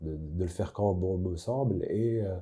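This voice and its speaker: A man speaks very slowly in a very deep, dark and mellow voice that is somewhat breathy, with fairly even intonation. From Casablanca, Morocco. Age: young. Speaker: singer-songwriter. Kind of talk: interview answer. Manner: hesitant, thoughtful.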